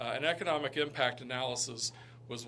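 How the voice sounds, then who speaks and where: Amid noticeable background noise and audible room echo, a man with a medium pitch talks at a fairly quick pace with fairly even intonation. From Kentucky (Lexington). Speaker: economic development director. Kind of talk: presentation to town council. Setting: town council meeting. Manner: halting, many fillers.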